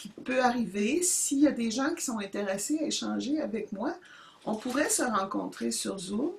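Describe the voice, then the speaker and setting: Moderate pace and lively intonation, with noticeable background noise underneath. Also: woman. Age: 70s. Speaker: YouTuber starting a channel. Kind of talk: casual monologue to camera. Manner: halting, many hesitations.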